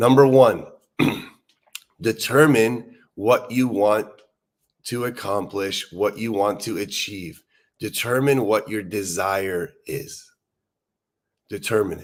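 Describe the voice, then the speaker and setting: A man's fairly low voice with ordinary pitch variation, very slow pace, long, frequent pauses and big swings in loudness, on a very clean recording with a silent background. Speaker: recovery meeting leader. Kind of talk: motivational talk. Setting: live stream. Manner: animated.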